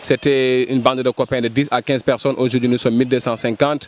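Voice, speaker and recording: A man's medium-pitched voice, monotone and flat, in a dry, close sound with no echo. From Senegal, Dakar (Ouakam). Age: 30s. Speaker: cultural project manager. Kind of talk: interview.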